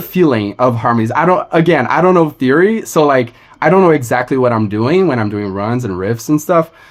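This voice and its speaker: Speaking with a Portuguese accent, a man uses lively intonation at a medium pitch. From Brazil. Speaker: singer-songwriter. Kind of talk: casual chat.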